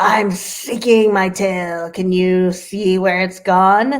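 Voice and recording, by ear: A put-on character voice comes out very slowly. Hissing can be heard. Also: woman, medium pitch for a woman.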